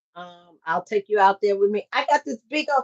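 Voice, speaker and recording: A woman speaks with a Southern US accent and lively intonation. The sound is dry and close, without echo. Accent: Southern, country. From US South, Mississippi. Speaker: trucking recruiter and carrier owner. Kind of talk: livestream talk. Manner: animated.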